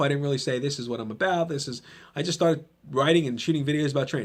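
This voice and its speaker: A man talks very fast with a New Jersey accent. His pitch shows ordinary variation. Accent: New Jersey American. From New Jersey, Trenton. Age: 30s. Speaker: podcast host and gym owner. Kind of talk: motivational monologue. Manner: casual, conversational with fillers.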